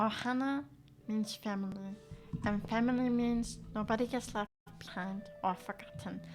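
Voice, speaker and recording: In a put-on character voice, a female-sounding speaker talks raspily at medium pitch and a moderate pace, leaving long, frequent pauses while music plays in the background. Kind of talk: cartoonish.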